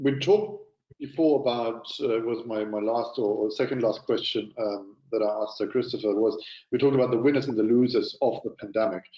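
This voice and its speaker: Someone with a German accent talks at a fairly quick pace with ordinary pitch variation. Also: man, medium pitch for a man. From Germany. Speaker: panel moderator. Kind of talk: moderated panel discussion. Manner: halting, many fillers and repeats.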